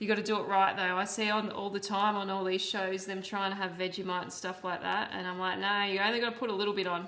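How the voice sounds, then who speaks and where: The speaker has an Australian accent and talks at a fairly quick pace in a flat monotone. Room echo is audible. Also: woman. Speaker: streamer and painter. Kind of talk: casual live-stream chat. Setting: live stream while painting.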